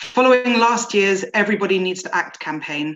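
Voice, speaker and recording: An unremarkable speaking voice at a moderate pace with ordinary pitch variation over light background noise. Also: woman. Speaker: awareness campaign manager. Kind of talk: presentation. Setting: video call. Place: home room. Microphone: video call.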